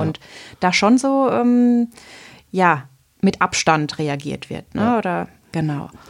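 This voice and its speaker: A woman speaks in a plain, everyday voice. Her intonation is lively and her pace fairly slow. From Southern Palatinate, Germany. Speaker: teacher and cloth diaper consultant. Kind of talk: podcast interview.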